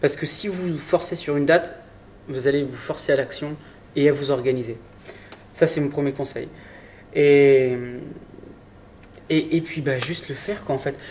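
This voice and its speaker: Amid noticeable background noise, a man speaks at a moderate pace and fairly high pitch, with fairly even intonation and long, frequent pauses. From Brittany, France (Saint-Malo). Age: 20s. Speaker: adventurer. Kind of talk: interview. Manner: halting, with repetitions.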